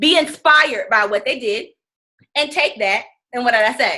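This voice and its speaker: Raised, projected voice from a woman, high-pitched, with a bright, sharp tone and lively intonation. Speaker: fitness business coach. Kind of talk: team training call. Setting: conference call. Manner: fast.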